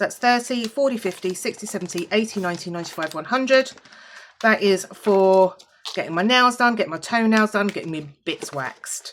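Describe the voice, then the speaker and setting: A woman's quick-paced speech with lively intonation and a British accent. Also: medium pitch for a woman. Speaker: budgeting vlogger. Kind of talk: casual vlog, counting money. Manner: casual, chatty with fillers.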